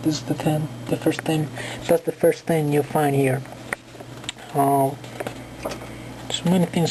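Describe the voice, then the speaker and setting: A woman speaks with a very deep, low pitch. Noticeable background noise can be heard. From Colombia. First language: Spanish. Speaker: book reviewer. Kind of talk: casual video review. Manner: halting, many fillers.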